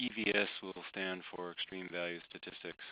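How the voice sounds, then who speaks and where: A soft-spoken man talks in a very deep, low voice. Noticeable background noise is present. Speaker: climate scientist presenting research. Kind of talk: webinar presentation. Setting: online webinar.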